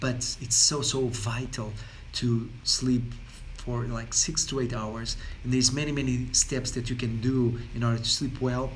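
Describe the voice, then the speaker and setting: There is audible room echo as a man speaks at a medium pitch, fairly slowly, with a monotone, flat intonation. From Portugal. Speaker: wellness coach. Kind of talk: casual talk to camera. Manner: halting, many fillers and repetitions.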